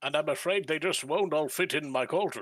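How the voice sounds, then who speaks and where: A put-on character voice at a fairly quick pace. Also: man. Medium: actual play.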